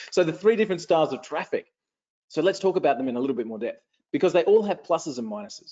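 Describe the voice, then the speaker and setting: An energetic man with an Australian accent talks at a very fast pace in a high pitch, with very wide pitch swings. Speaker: online marketing trainer. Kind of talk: live webinar training. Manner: energetic, repetitive.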